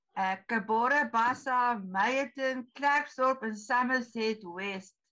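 Her voice fairly high and bright, sharp in tone, a woman speaks with ordinary pitch variation against a quiet background. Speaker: society event host. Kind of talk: speaker introduction. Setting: video call. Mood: light, informal. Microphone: video call.

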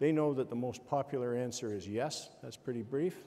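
The tone is dark and mellow. The pace is fairly quick. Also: man. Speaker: forum moderator. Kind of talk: moderator instructions to audience. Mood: relaxed, lightly humorous. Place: hall. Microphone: lapel.

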